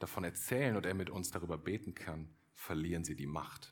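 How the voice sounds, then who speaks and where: A man talks at a fairly quick pace. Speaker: pastor. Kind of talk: sermon, earnest and direct, addressing the congregation as 'du' with appeals to decide. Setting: church. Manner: persuasive, warm, urgent, with emphatic repetition.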